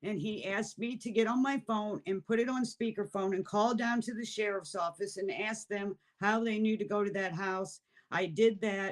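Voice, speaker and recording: A woman's medium-pitched, ordinary speaking voice at a moderate pace, with fairly even intonation. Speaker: mother of a missing person. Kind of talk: interview testimony.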